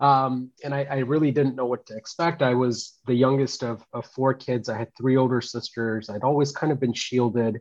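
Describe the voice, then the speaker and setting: A man's normal speaking voice, medium in pitch, at a moderate pace with fairly even intonation and hardly any pauses. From India, moved to US at age nine. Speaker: technology executive. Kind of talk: interview.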